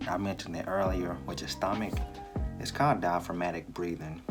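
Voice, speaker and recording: A man speaks softly in a very deep, low voice. Music plays in the background. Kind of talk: casual advice talk to camera. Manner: soft-spoken, quiet.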